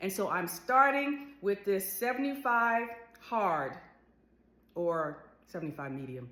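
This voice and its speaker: A woman speaks at a fairly high pitch with very wide pitch swings. Audible room echo surrounds her voice. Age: 60s. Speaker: lifestyle vlogger. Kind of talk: casual vlog monologue.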